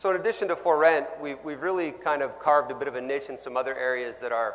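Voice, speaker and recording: A man with a Canadian accent speaks at a very fast pace. Audible room echo surrounds his voice. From Canada. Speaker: sales executive. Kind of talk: conference keynote talk. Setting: stage with audience. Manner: loud.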